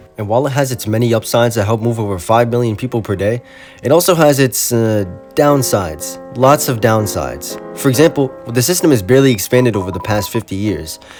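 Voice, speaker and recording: Over music in the background, the speaker talks at a fairly quick pace with lively intonation. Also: man, medium pitch for a man. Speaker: transit video essayist. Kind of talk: video essay narration.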